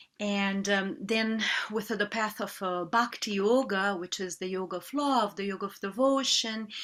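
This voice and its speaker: A woman with a Portuguese accent speaks at medium pitch and a moderate pace with ordinary pitch variation, recorded very cleanly against a silent background. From Brazil. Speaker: yoga teacher. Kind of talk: interview. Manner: halting.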